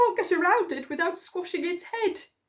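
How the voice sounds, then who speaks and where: A put-on character voice, squeaky and extremely high in pitch, talks at a moderate pace. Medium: read story.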